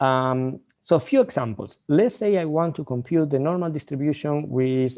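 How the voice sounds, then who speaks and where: A man speaks with ordinary pitch variation. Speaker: university lecturer. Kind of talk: lecture. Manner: fast; halting, repeats words.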